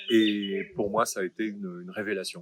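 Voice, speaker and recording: Noticeable background noise runs through the clip. The voice is a man's. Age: 60s. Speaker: retired business executive turned coach. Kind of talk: testimonial interview. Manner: hesitant, many fillers.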